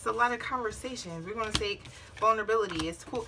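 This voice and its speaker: Noticeable background noise runs through the clip. A woman speaks at a fairly high pitch. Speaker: tarot reader. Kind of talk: tarot reading. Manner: blunt, casual with cursing.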